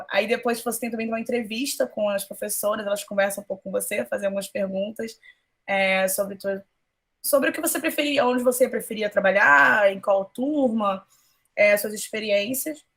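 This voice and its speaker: Her voice is fairly high in pitch for a woman. Pitch variation stays ordinary. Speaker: school teacher. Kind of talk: online class talk. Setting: video call. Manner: fast; animated.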